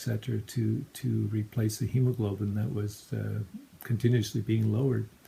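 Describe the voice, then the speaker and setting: Somewhat breathy and dark, mellow in tone, the voice keeps a fairly even intonation at a moderate pace. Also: man. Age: 60s. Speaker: cancer patient. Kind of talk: appeal for crowdfunding. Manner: halting.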